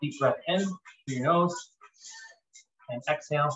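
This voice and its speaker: With noticeable background noise behind him, a man speaks at a moderate pace in a fairly high voice with fairly even intonation. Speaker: fitness instructor. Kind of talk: live workout coaching with countdowns and rep cues. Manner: casual, filler-heavy with frequent ums and uhs. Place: home room. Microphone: camera far.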